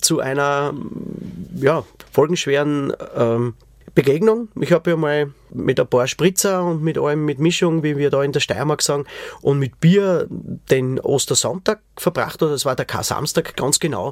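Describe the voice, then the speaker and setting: A man with an unremarkable speaking voice talks at a fairly slow pace and a fairly high pitch. His pitch varies in an ordinary way, and the sound is dry and close with no echo. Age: 40s. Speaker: podcast host, musician. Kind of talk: personal testimony.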